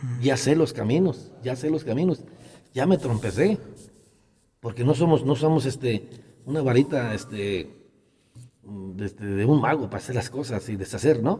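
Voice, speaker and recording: A man's somewhat breathy, dark and mellow voice at a medium pitch, with lively intonation, a moderate pace and long, frequent pauses. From Jalisco, Mexico (rural Acatic). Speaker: local politician and rancher. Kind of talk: interview. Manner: halting.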